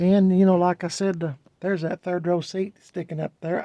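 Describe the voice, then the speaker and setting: A man with a high pitch speaks at a moderate pace in a flat monotone, the sound dry and close with no echo. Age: 60s. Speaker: car enthusiast video host. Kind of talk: casual walkaround vlog. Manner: halting, with many fillers.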